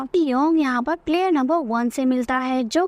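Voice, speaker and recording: The sound is dry and close, with no echo. A woman speaks in a high pitch with ordinary pitch variation. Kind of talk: movie recap narration. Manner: storytelling, conversational.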